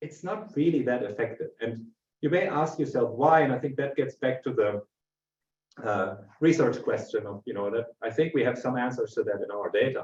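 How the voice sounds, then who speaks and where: Somewhat breathy, a man talks at a fairly high pitch with lively intonation. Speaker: industry market analyst. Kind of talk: webinar presentation. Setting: online webinar. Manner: fast.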